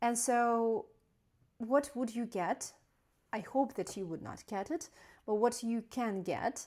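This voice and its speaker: Over a very clean recording with a silent background, a woman with a non-native accent speaks in a dark, mellow tone at a fairly high pitch with ordinary pitch variation. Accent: non-native English speaker. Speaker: doctor. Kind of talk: educational talk. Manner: halting, many fillers.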